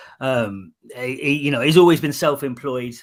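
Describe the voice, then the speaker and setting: Delivered in a northeast England accent, the speech keeps a fairly even intonation. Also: man. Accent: South Shields (northeast England). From northeast England, South Shields. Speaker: armed forces member and charity partner, podcaster. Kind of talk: casual chat. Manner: halting, many fillers.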